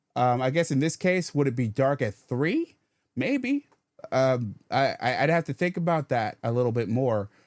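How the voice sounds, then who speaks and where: A man with an American accent speaks at a fairly slow pace in a medium pitch, with ordinary pitch variation and a dry, close sound with no echo. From Rochester, New York. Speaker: radio host. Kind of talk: call-in show commentary. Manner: halting, many repetitions and fillers.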